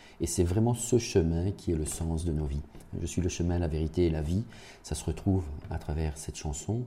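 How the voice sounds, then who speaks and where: Amid noticeable background noise, a man with a very deep, low pitch talks at a moderate pace. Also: ordinary pitch variation. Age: 50s. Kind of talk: radio interview. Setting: parish house. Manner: hesitant, many repeated words.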